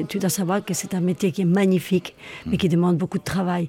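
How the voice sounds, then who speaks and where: Over noticeable background noise, a woman with a fairly low pitch talks at a fairly quick pace with fairly even intonation. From Spain, Madrid. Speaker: singer, actress and theatre school director. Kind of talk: interview.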